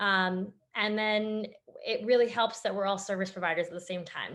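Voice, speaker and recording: A woman with a Canadian accent talks at a moderate pace in a medium pitch over a quiet background. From Canada, Toronto. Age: young. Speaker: startup founder. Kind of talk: interview Q&A. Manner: halting, many fillers.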